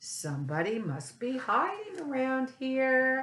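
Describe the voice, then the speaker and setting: A female-sounding voice speaks at a fairly slow pace in a high pitch. It is a put-on character voice. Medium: read story.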